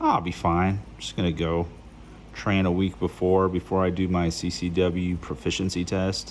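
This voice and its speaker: A man with a very deep, low pitch, ordinary pitch variation and moderate pace. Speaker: gun hobbyist. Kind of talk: tutorial. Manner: casual, halting.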